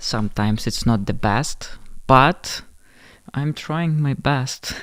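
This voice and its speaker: A man speaks with a non-native accent. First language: not English. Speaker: streamer reacting to videos. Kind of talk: livestream chat. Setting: livestream.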